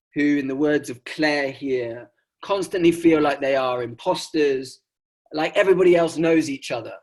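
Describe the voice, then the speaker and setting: A man with an English accent speaks at a moderate pace on a very clean recording with a silent background. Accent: received pronunciation. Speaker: sociologist presenting research. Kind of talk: academic conference talk. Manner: frequent fillers and hesitations.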